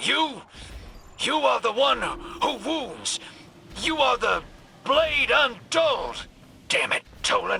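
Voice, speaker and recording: A put-on character voice drawls along at a very slow pace. Long pauses come often. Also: man, extremely high pitch for a man. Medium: video game. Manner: drawling, folksy slang.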